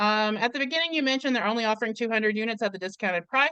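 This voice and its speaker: A woman talks loudly in a bright, sharp tone. The background is quiet. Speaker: community organizer and live chat host. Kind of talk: live stream Q&A. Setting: video call. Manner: hesitant, many fillers.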